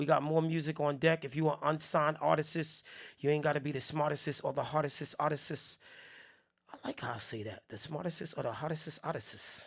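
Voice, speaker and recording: With a New Jersey accent, a man with a fairly high pitch speaks at a moderate pace in an animated tone with ordinary pitch variation. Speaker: music review show host. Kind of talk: live music review stream. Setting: live broadcast. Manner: casual, animated.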